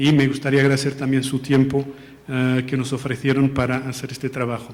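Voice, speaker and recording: With a Portuguese accent, a man talks at a fairly quick pace and a medium pitch. His delivery is monotone and flat, and there is noticeable background noise. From Portugal. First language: Portuguese (speaking Spanish). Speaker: international education policy analyst. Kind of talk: formal presentation. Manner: halting, with false starts.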